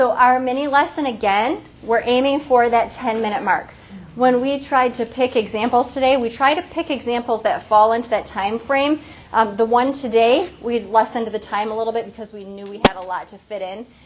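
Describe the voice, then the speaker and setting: A woman with a high pitch uses ordinary pitch variation and big swings in loudness, with noticeable background noise behind her. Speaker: literacy trainer for teachers. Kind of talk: professional development workshop. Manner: fast.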